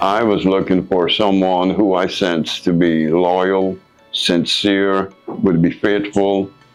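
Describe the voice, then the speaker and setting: Music plays in the background. The voice has monotone, flat intonation. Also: man. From Guyana. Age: 70s. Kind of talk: interview answer.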